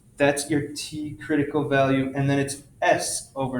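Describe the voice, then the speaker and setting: Noticeable background noise is heard. Through it a man talks at a medium pitch. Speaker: high school statistics teacher. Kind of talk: tutorial.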